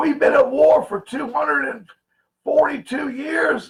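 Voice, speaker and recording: A man's fairly slow speech is heard with music in the background. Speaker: conspiracy livestream host. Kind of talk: livestream talk to chat viewers. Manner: loud, sounds like yelling; animated, emphatic.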